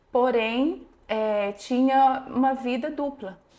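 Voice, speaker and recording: Here a woman speaks with a high pitch. Her tone is dark and mellow. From interior of São Paulo state, Brazil. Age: 40s. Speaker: psychologist. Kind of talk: interview testimony.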